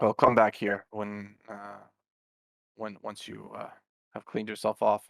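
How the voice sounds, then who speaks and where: A raspy, put-on character voice holds a monotone, flat intonation at a moderate pace. Long, frequent pauses break it up, and the loudness swings widely. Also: man, fairly low pitch for a man. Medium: actual play. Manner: patient, sighing.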